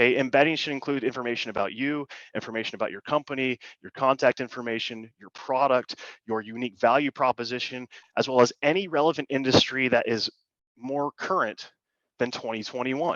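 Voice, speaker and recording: A man speaks at a fairly quick pace with a medium pitch and fairly even intonation. His loudness swings widely, and the sound is dry and close with no echo over a quiet background. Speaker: insurance agency owner presenting on AI. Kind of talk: workshop presentation. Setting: online call. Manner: fast.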